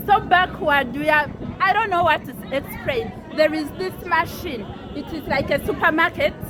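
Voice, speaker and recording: Crowd noise fills the background as a woman with a Ugandan accent speaks at a moderate pace. Her voice is extremely high in pitch, with ordinary pitch variation. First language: Luganda. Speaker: housemaid vlogger. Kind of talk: casual vlog. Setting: outdoors on a balcony. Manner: halting.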